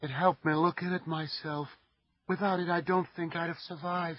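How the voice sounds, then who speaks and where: Putting on a character voice, a soft-spoken man talks at a fairly quick pace with a high pitch. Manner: flat, monotonous, terse.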